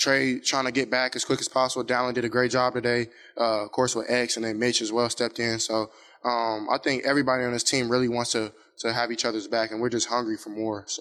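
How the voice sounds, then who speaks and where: Very fast, flat, monotone delivery in a bright, sharp tone. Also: man, medium pitch for a man. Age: 20s. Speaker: college quarterback. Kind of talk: press conference. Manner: halting, stammering.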